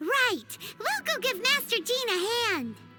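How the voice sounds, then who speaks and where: A squeaky, put-on character voice at an extremely high pitch moves at a fairly slow pace. Loud music plays in the background. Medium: video game.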